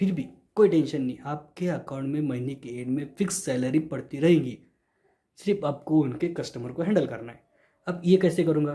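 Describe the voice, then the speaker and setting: Speaking with a Marathi accent, a man has a fairly high, somewhat breathy voice with a dark, mellow tone. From Maharashtra, India. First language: Marathi (speaking Hindi). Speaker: YouTuber sharing job tips. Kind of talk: informal explainer video. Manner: repetitive, reassuring.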